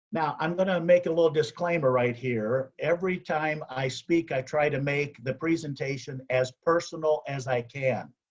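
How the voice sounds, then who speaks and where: Speaking fairly slowly, this voice has a somewhat breathy quality. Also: man. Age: 60s. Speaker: motivational speaker, past service club president. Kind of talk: motivational speech.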